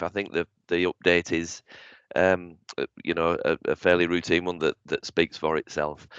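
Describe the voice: A man puts on a character voice that is croaky and very deep in pitch. He keeps a moderate pace and a monotone, flat intonation against a quiet background.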